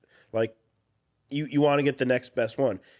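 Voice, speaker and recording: Against a quiet background, a man speaks at a fairly quick pace with a Midwestern US accent. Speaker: firearms channel host. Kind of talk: casual chat. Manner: casual with many fillers.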